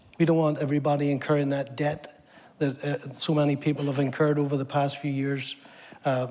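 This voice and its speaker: With a slight Northern Irish accent, a man talks at a fairly quick pace and a fairly high pitch. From Northern Ireland, Belfast. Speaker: government apprenticeship program lead. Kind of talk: TV interview. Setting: stage with audience.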